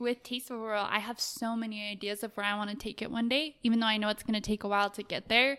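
In an American accent, a woman talks fairly quickly with a fairly high pitch, a bright, sharp tone and fairly even intonation. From Utah, Salt Lake City. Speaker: clothing brand owner. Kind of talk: casual interview. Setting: in person.

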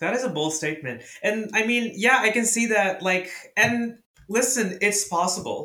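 At a moderate pace, a man speaks in a raised, projected voice with a high pitch. His pitch varies in an ordinary way. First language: Urdu or Hindi. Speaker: podcast guest, music fan. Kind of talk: casual chat. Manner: animated, laughing often.

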